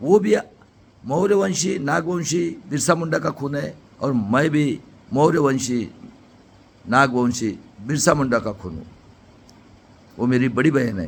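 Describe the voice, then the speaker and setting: A man talks at a fairly high pitch with vocal fry and lively intonation. His loudness swings widely, and he takes long, frequent pauses. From Maharashtra, India (near Nagpur). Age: 60s. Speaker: retired engineer and political activist. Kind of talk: political speech. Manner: impassioned.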